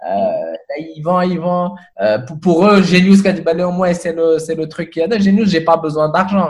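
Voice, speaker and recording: A man with a high-pitched voice speaks at a fairly slow pace, his pitch varying in an ordinary way. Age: 30s. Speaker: tech entrepreneur. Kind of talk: interview conversation. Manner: halting with frequent repetitions.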